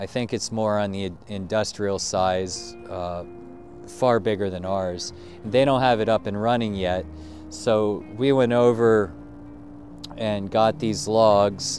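Over faint music in the background, a man speaks very slowly at a fairly low pitch with ordinary pitch variation. The sound is dry, with no echo. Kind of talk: casual vlog chat. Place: open country. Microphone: phone near.

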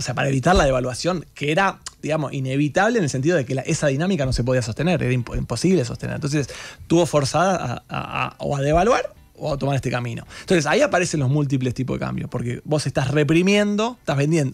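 Very fast speech from a man with a fairly high pitch and ordinary pitch variation, over faint background music. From Argentina. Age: 40s. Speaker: economist; guest. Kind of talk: radio interview. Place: studio. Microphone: studio mic.

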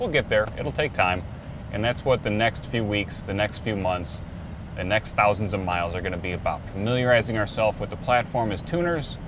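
The speech moves at a fairly quick pace with ordinary pitch variation. The sound is dry with no echo, though noticeable background noise is present. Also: man. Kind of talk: casual vlog chat. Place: car. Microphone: phone near.

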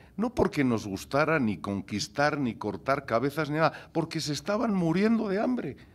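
This man's voice has vocal fry and very wide pitch swings. He talks at a moderate pace. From Spain, Gijón (Asturias); Asturias, Spain. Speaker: chef; panelist. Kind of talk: conference talk. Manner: animated. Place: hall. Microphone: podium.

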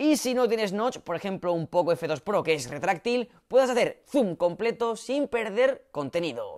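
A loud, animated man talks at a high pitch with very wide swings, at a fairly slow pace with hardly any pauses. The background is quiet. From Spain. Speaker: tech YouTuber; tech youtuber. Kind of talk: vlog announcement. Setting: home studio set. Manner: loud, newscaster-like delivery. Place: home room. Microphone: new, better audio setup; lapel.

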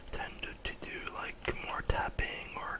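Delivered at a very slow pace, the speech sits over light background noise. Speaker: ASMR content creator. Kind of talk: casual talk to camera. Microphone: studio mic.

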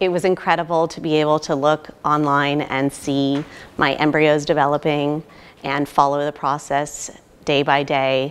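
A woman's very deep, low voice in an American accent, monotone and flat, at a moderate pace. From California, US. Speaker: IVF patient. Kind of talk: testimonial. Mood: happy, grateful. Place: hall.

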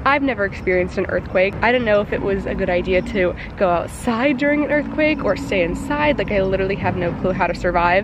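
A woman at a very fast pace with hardly any pauses and lively intonation, dry with no echo, over noticeable background noise. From US South, Georgia. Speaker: vlogger. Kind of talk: casual vlog. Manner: animated. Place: street. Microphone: phone near.

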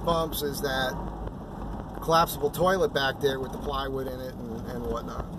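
There is noticeable background noise as a man speaks at a fairly slow pace in a dry recording with no echo. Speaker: van vlogger. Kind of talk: casual vlog chat. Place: car. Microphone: phone near.

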